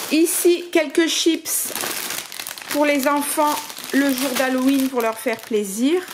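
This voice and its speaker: The speech moves at a very slow pace, with ordinary pitch variation. Noticeable background noise runs underneath. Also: woman. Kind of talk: casual vlog chat. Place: home room. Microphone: phone near.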